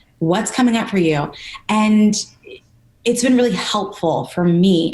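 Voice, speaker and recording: Background noise is clearly present. Through it, a woman talks. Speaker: personal trainer. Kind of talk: interview. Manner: fast.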